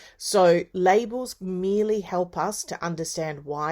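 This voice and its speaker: Very clean recording, silent background, and a woman with an unremarkable speaking voice. She speaks at a fairly low pitch with ordinary pitch variation. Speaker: university lecturer in early childhood education. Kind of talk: lecture.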